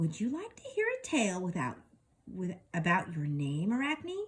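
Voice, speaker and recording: Using a put-on character voice, a woman speaks at a moderate pace in a medium pitch. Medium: read story.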